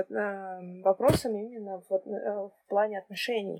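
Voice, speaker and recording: Recorded dry and close with no echo, a woman's voice sits at medium pitch with a dark, mellow tone. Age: 20s. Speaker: podcast co-host. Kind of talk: casual chat.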